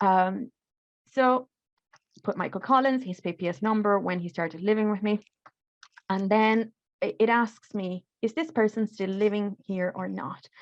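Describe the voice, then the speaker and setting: Speaking at a moderate pace with long, frequent pauses, a woman with a non-native accent uses a medium pitch and ordinary pitch variation, the sound dry and close with no echo. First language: not English. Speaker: refugee support worker. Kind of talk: tutorial. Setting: video call. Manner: halting.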